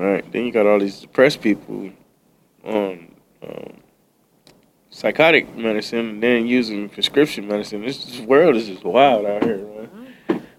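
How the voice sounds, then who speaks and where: Using an unremarkable speaking voice, a man talks at a fairly slow pace with fairly low pitch, ordinary pitch variation, and big swings in loudness. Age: 30s. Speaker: podcast guest. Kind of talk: casual chat. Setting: studio.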